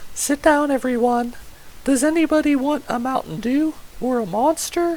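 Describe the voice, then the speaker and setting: Someone puts on a high-pitched character voice at a moderate pace, with light background noise. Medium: audio drama. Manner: warm, homely.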